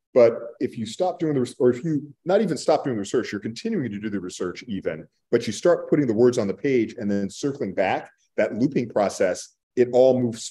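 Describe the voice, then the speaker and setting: With an American accent, a man speaks at a fairly quick pace in a dark, mellow tone and lively intonation over a quiet background. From Texas (Borger); Texas. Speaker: author; panelist. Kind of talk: panel discussion. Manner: halting. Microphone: video call.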